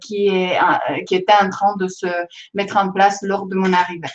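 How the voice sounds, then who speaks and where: Speaking with a non-native accent, a woman uses a medium pitch and a monotone, flat intonation at a fairly slow pace. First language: not French (speaking French). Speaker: data scientist. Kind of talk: presentation to students. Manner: hesitant, many fillers.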